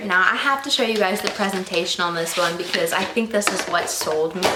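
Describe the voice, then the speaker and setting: Against noticeable background noise and audible room echo, the speaker talks at a fairly quick pace in an animated tone with ordinary pitch variation. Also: woman. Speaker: beauty YouTuber reviewing perfumes. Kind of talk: casual vlog review. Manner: fast; chatty, animated.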